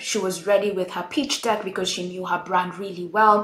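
A woman's voice at a moderate pace, with noticeable background noise. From Kenya. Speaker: retail consultant. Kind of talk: interview.

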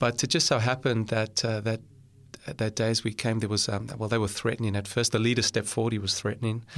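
At a fairly quick pace, a man talks in a flat monotone at medium pitch with very even loudness. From South Africa, Cape Town. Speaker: pastor. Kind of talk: testimony. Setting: studio.

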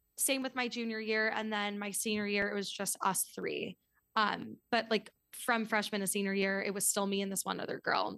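In a bright, sharp tone, a woman with an American accent speaks at a moderate pace with flat, monotone intonation over a quiet background. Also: medium pitch for a woman. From New York City. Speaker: podcast host and yoga teacher. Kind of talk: casual chat. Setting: video call.

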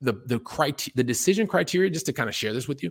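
In a General American accent, a man speaks with very wide pitch swings and a somewhat breathy voice, the sound dry and close with no echo. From US Midwest and Texas (Columbus, Ohio). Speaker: real estate investor and coach. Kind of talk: podcast interview.

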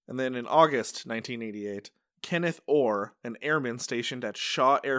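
A man with an American accent has an ordinary speaking voice, medium in pitch, with lively intonation at a fairly quick pace. The recording is very clean, with a silent background. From Upstate New York, Utica. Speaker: podcast host. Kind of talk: casual chat.

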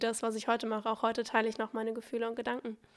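Recorded very cleanly against a silent background, a woman talks at a fairly high pitch. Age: 20s. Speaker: social media entrepreneur. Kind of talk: casual chat. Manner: charming.

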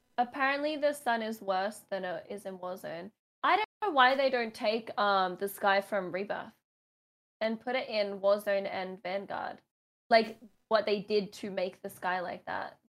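Medium-pitched female speech in an Australian accent. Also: ordinary pitch variation, fairly slow pace. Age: 20s. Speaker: gaming podcast co-host, competitive gamer. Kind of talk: casual chat.

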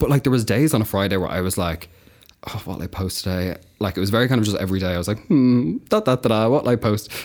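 In an Irish accent, a man with a fairly low pitch talks at a very fast pace. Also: ordinary pitch variation. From Ireland, County Kildare. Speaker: agency worker in marketing. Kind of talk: casual chat. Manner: giggly.

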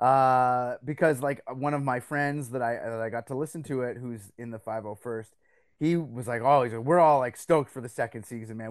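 Against a quiet background, a man at medium pitch talks at a fairly quick pace, his loudness swinging widely. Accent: Canadian. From Belgium, then Canada from age twelve. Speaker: radio host and comic book writer. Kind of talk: casual chat. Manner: animated.

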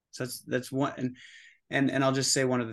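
The voice carries noticeable vocal fry. The background is quiet. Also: man. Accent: American. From US Pacific Northwest, Oregon. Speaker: psilocybin facilitator. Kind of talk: interview. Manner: halting.

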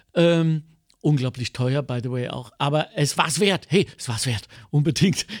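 In a dry, close recording with no echo, a man speaks in an animated tone at a moderate pace, his fairly high pitch showing ordinary variation. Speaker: cabaret artist and podcast host. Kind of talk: casual chat.

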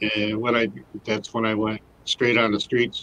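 A fairly low-pitched man's voice, flat and monotone, at a fairly slow pace in a Michigan accent. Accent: Michigan (Inland North) American. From Michigan, Detroit area and Grand Rapids. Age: 60s. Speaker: formerly homeless advocate running a nonprofit. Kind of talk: casual interview. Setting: studio.

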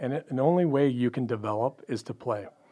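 Speaking at a very fast pace, a man talks with a Western Canadian accent. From Canada, Pacific Northwest. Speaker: pro basketball front office executive. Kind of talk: casual interview. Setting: studio.

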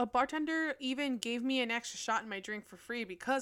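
Lively intonation at a fairly quick pace, in a very clean recording with a silent background. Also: woman. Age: 20s. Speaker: podcaster. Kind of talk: casual monologue.

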